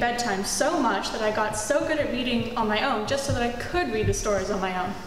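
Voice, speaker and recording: Her pace is very fast, and this woman has a high pitch. Audible room echo and light background noise sit behind her. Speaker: presenter. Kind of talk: school presentation talk. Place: hall.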